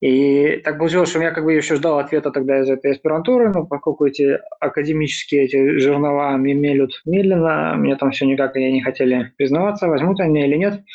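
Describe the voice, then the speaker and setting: Noticeable background noise surrounds a man speaking. His pitch is fairly high and his loudness very even. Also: ordinary pitch variation. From Belarus. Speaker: software developer.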